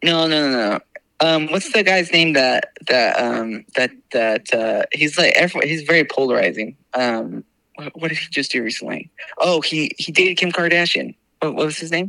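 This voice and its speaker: A man speaks at a moderate pace in an ordinary speaking voice, fairly high in pitch with ordinary pitch variation. The sound is dry and close, without echo. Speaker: brother of the host, guest. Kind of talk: casual chat.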